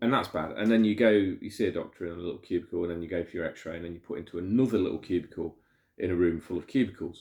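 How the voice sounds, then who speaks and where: With an English accent, a man talks at a very fast pace. His pitch is very deep and low, with ordinary variation. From England. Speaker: vlogger. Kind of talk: personal storytelling monologue. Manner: halting, many fillers and repetitions.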